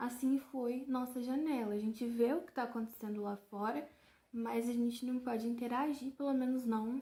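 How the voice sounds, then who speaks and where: High in pitch, this woman's voice has a dark, mellow tone. She talks at a moderate pace with fairly even intonation. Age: 20s. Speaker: journalism student and audiovisual artist. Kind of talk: casual talk to camera about her art.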